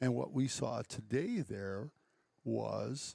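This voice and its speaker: A man speaks very slowly with an Upper Midwest accent. The sound is dry and close, with no echo. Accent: Upper Midwest (Wisconsin). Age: 60s. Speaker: conservationist and farm owner. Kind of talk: casual chat.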